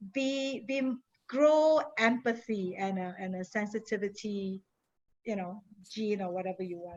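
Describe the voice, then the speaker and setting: A woman's medium-pitched voice with an American accent, fairly slow pace and ordinary pitch variation. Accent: Singaporean, noted by US colleagues. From Singapore. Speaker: industry consultant, guest speaker. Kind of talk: panel discussion for a class.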